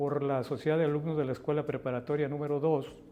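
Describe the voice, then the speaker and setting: With music in the background, a man speaks in a fairly high pitch. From Mexico, Guadalajara (Jalisco). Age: 70s. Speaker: politician. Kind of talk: interview.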